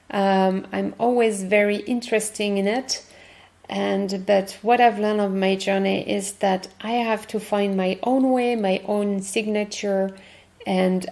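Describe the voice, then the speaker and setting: A woman speaks with a French accent in a medium pitch. Her pace is very slow and her intonation fairly even. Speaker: podcast host, workshop facilitator. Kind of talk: podcast monologue. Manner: halting.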